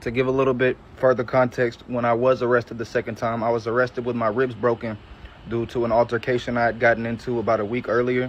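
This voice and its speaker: A man's medium-pitched, monotone, flat delivery at a very fast pace in a Southern US accent, with noticeable background noise. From US South, Georgia, Metro Atlanta. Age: 20s. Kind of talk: testimony. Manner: casual.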